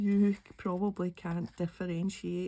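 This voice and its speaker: A woman speaks at a fairly slow pace with a Glaswegian accent. Her voice is somewhat breathy, with a dark, mellow tone. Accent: Glaswegian Scottish. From Scotland, Glasgow. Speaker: craft YouTuber. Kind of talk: casual chat while crafting. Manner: relaxed.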